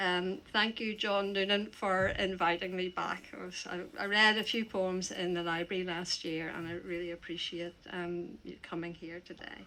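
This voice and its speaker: With a Northern Irish accent, a woman speaks at medium pitch and a moderate pace in a bright, sharp tone. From Northern Ireland. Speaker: poet. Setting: stage with audience. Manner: halting.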